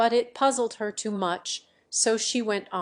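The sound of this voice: The reading voice is unforced, and its pitch moves by ordinary amounts.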